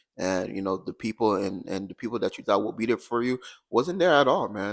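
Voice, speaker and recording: Recorded very cleanly against a silent background, a man with an American accent speaks at a fairly low pitch. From Haitian American household, US. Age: 20s. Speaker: podcast guest. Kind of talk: personal testimony. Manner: halting, many fillers.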